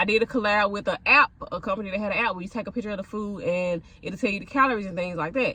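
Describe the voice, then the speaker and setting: A woman talks very fast in a fairly high voice with lively intonation. Background noise is noticeable. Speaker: content creator and food vlogger. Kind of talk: casual vlog rant.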